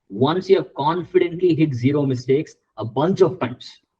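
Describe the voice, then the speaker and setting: The tone is dark and mellow. The pace is moderate. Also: man. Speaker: chemistry tutor. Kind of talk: one-on-one tutoring feedback. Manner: loud; animated.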